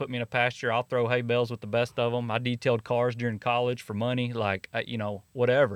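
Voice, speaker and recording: A man with an East Texas accent at a very fast pace, against a quiet background. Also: dry, close sound with no echo. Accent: East Texas Southern US. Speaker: network marketing entrepreneur, former high school coach. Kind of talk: casual interview.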